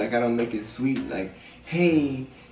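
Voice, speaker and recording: Music plays in the background, with ordinary pitch variation and audible room echo. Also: man. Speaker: relationship vlogger. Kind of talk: casual chat. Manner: loud; animated.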